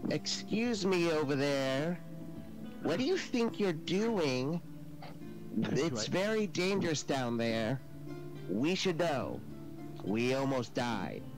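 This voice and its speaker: A man does a put-on character voice, fairly high in pitch, at a very slow pace. Long, frequent pauses break it up over loud background music. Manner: chatty, eager, flustered.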